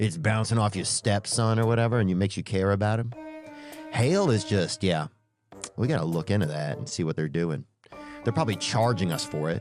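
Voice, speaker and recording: Music plays in the background as a man speaks in a Southern US accent. He has a fairly low pitch and a fairly quick pace. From Louisiana, Southern US. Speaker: stand-up comedian and podcast host. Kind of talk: comedic podcast storytelling. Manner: casual, rambling, humorous.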